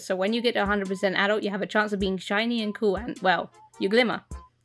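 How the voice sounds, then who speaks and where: A woman talks at a very fast pace at a medium pitch. Music plays in the background. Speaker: gaming video creator. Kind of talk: gameplay commentary.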